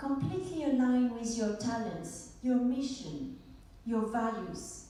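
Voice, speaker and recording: A woman's high pitch in a French accent, with lively intonation at a fairly slow pace, amid noticeable background noise and audible room echo. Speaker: speaker and coach. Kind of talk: conference talk. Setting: stage with audience.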